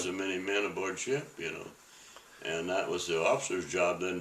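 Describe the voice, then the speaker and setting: Noticeable background noise runs through the clip. Over it, a man talks at a fairly quick pace. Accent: American. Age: 80s+. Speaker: WWII Navy veteran. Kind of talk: interview answer.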